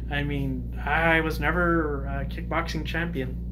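A man speaks at a fairly slow pace with noticeable background noise behind him. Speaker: YouTuber giving opinion. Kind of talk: casual monologue commentary. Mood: calm, opinionated. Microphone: phone near.

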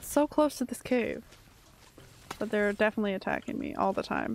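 With vocal fry at a moderate pace, a woman speaks over light background noise in a dry sound with no echo. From Canada. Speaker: gaming streamer. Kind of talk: casual live-stream chat while playing a game. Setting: live stream, at home. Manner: chatty, animated, jokey. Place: home room. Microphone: studio mic.

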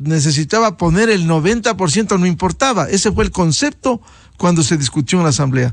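Over a quiet background, a man with a high voice and lively intonation talks at a moderate pace in a dry sound with no echo. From Ecuador. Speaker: news show host. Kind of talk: interview. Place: studio. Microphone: studio mic.

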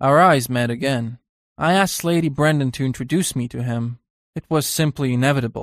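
Ordinary pitch variation marks an unforced reading voice, heard over a quiet background.

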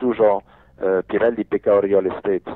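A man with a non-native accent. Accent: foreign-accented Polish. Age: 50s. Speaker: businessman. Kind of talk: interview. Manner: animated.

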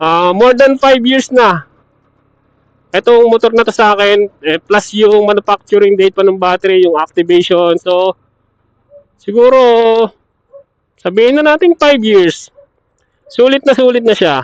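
A man's high voice at a fairly slow pace, lively in intonation, very even in loudness, with long, frequent pauses, the sound dry and close with no echo. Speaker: motorcycle vlogger. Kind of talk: casual vlog. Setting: battery shop.

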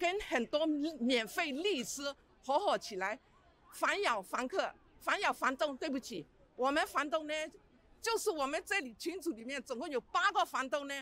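A woman's high-pitched, bright, sharp voice with very wide pitch swings at a moderate pace, dry with no echo. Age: 60s. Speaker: retired small landlord. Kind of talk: street interview. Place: street. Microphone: handheld.

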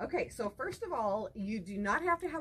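With big pitch swings, a woman speaks at a moderate pace. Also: fairly bright tone.

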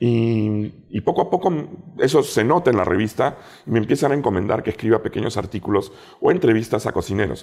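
The speaker's intonation is lively, and the recording is very clean with a silent background. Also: man. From Peru. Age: 40s. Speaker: food critic and TV show judge. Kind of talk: casual interview chat.

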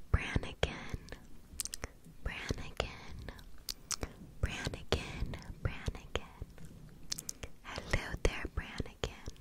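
Very slowly, a woman whispers in a soft-spoken way. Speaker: ASMR creator. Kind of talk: ASMR whispered name triggers. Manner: soft close-mic ASMR whisper. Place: home room. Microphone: studio mic.

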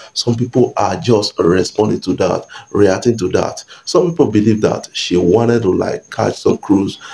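A man keeps a moderate pace with hardly any pauses. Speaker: entertainment news YouTuber. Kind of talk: casual vlog commentary. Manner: hesitant, many fillers. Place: home room.

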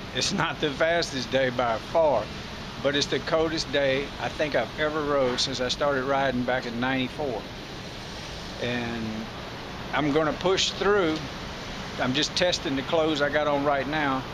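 Over noticeable background noise, a man speaks at a fairly slow pace with fairly even intonation and long, frequent pauses. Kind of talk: casual vlog chat. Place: street. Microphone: phone near.

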